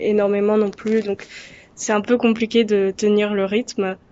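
Noticeable background noise sits under this recording. A woman speaks in a monotone, flat intonation. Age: 20s. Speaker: history student. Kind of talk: recorded video testimony.

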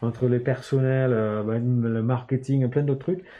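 A man's medium-pitched voice moves with fairly even intonation. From northern England, Newcastle. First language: English (speaking French). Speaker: startup founder. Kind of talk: casual interview.

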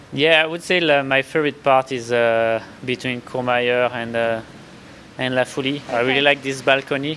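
With a French accent, a man of medium pitch speaks at a moderate pace with fairly even intonation. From France. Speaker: ultra trail runner. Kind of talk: interview. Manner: halting.

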